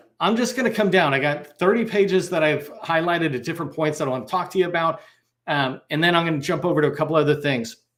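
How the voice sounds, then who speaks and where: A man's voice, high for a man, with normal pitch movement. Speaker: federal sales trainer. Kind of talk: online training webinar. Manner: fast.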